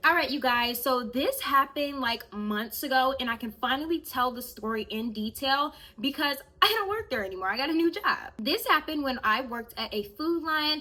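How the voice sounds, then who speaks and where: With a raised, projected voice and high pitch, a woman speaks in an animated tone with lively intonation. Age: 20s. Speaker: YouTuber. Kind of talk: storytime vlog. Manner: fast.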